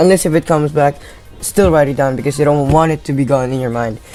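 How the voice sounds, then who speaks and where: The speech comes at a very fast pace with music playing in the background. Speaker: YouTube tutorial creator. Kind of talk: tutorial. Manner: halting.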